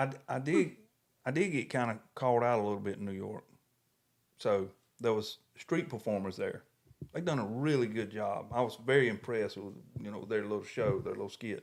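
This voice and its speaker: In a very clean recording with a silent background, a man of medium pitch talks at a fairly quick pace with ordinary pitch variation and long, frequent pauses. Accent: Southern US. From US South. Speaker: podcast co-host. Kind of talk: casual chat. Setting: home podcast studio.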